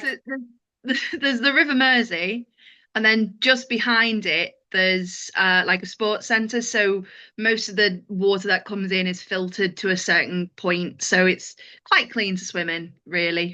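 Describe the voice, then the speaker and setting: Over a quiet background, a woman with a Liverpool accent talks at a fairly slow pace and medium pitch, her tone bright and sharp, with ordinary pitch variation. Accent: Scouse. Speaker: stand-up comedian. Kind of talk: interview answer.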